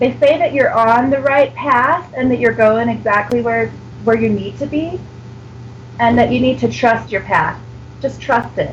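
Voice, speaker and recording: A woman speaks with an American accent at a moderate pace. Noticeable background noise runs under her voice. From United States. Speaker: psychic reader. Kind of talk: psychic reading on radio. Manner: hesitant, many fillers.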